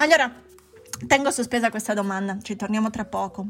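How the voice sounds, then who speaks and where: An ordinary speaking voice from a woman, fairly high-pitched and fairly quick, with ordinary pitch variation on a very clean recording with a silent background. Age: 40s. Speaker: psychologist podcast host. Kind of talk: podcast monologue.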